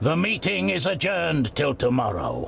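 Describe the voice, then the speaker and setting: A man's put-on character voice at medium pitch, with very wide pitch swings, a moderate pace and clear background noise. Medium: video game. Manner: grave, measured.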